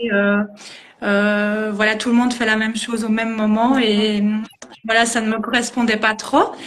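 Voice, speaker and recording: A woman speaks at a fairly slow pace with a fairly high pitch. Her intonation is monotone and flat, with long, frequent pauses. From Belgium, Liège region. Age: 30s. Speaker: dance teacher. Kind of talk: interview. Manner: hesitant, many fillers.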